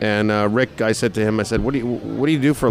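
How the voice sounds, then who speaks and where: A man with an American accent over music in the background. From New York. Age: 50s. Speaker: radio morning show host. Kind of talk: interview. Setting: restaurant and sports bar.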